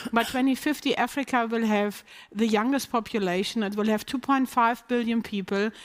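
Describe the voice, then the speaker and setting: A woman speaks at a moderate pace with fairly even intonation. The recording is very clean, with a silent background. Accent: slight non-native. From Germany. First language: German. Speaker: business executive. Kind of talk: panel discussion.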